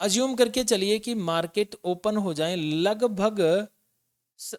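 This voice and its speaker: The recording is very clean with a silent background and a dry, close sound free of echo. A man speaks with lively intonation. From India, Rajasthan (Jaipur). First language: Rajasthani (speaking Hindi). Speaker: stock market analyst. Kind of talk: market analysis tutorial. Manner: casual, conversational.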